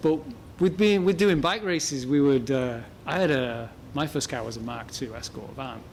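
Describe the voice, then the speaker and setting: A man with an English accent, lively intonation and a moderate pace. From England. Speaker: motorsport parts business owner and rally driver. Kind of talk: casual interview. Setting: his shop. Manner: halting, repeats words.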